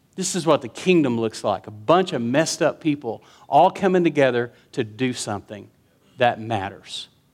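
Lively intonation at a moderate pace comes through on a very clean recording with a silent background. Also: man, medium pitch for a man. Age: 50s. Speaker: pastor. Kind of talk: sermon. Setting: church. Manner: animated.

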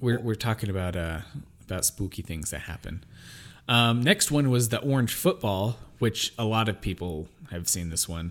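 Over a very clean recording with a silent background, a man with a normal speaking voice talks at a fairly low pitch and moderate pace with lively intonation. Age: 20s. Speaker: podcast co-host. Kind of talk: casual chat.

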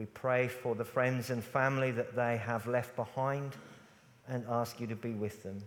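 A man with an English accent, medium pitch, a moderate pace and monotone, flat intonation. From England. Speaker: pastor. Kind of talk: church panel discussion. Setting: church.

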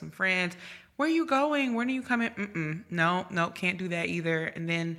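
The speaker has a normal speaking voice with an American accent. The pace is fairly quick, with ordinary pitch variation. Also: woman. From Virginia and New Jersey, US East Coast. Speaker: journalist. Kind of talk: casual chat.

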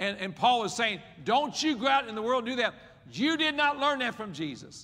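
Over noticeable background noise, a man with an American accent speaks in a raised, projected voice at an extremely high pitch, with lively intonation and a fairly quick pace. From West Virginia. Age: 60s. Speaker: pastor. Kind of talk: sermon.

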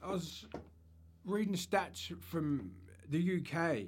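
Here is a man with an Australian accent. His pitch sits high and varies in an ordinary way. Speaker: podcast co-host. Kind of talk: casual chat. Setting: studio.

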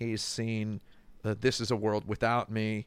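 A man speaks at a fairly low pitch in monotone, flat intonation and a fairly slow pace. The recording is very clean with a silent background. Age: 40s. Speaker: video game critic. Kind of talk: casual chat.

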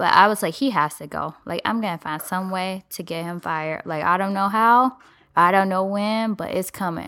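Bright and sharp in tone, a woman speaks at a medium pitch and moderate pace with ordinary pitch variation. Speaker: podcast co-host. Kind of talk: casual banter.

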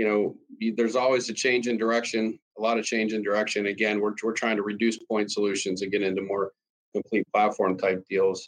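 A man's fairly low voice at a moderate pace. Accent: Western Pennsylvania. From Pennsylvania, US. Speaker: cost optimization consultant. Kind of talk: interview. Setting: video call.

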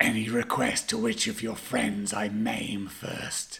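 A put-on character voice, low in pitch, is delivered at a fairly slow pace. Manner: menacing.

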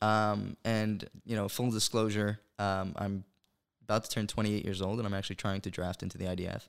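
In a New York accent, a man talks at a fairly quick pace in a fairly low, monotone, flat voice on a very clean recording with a silent background. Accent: New York American. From New York (Brooklyn, then Monsey). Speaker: pro-Israel campus activist. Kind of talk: casual interview. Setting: studio, sitting across the table.

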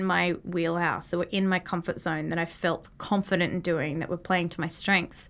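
A woman's fairly low voice in an Australian accent, monotone and flat, at a moderate pace, on a very clean recording with a silent background. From Australia, Brisbane. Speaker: business owner. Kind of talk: casual chat.

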